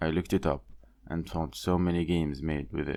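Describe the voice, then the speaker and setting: A man's very deep, low voice with vocal fry, fairly even intonation and a moderate pace, on a very clean recording with a silent background. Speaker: indie game developer. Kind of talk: devlog narration.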